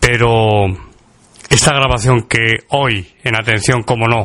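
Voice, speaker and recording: Noticeable background noise behind a man with a Castilian accent, medium in pitch, fairly even in intonation and very slow in pace. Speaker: radio host. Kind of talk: podcast monologue.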